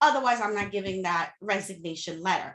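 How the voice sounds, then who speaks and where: In a raised, projected voice with a bright, sharp tone, a woman with a slight Haitian accent speaks with very wide pitch swings. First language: Haitian Creole / French. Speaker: social media coach, entrepreneur. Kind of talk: interview podcast. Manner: casual, emphatic.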